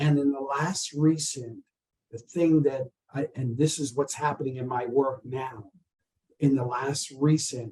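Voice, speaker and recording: A man speaks in a fairly high pitch with a dark, mellow tone that is somewhat breathy. He goes at a fairly slow pace with fairly even intonation. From US South. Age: 70s. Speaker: artist and university professor. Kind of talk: interview.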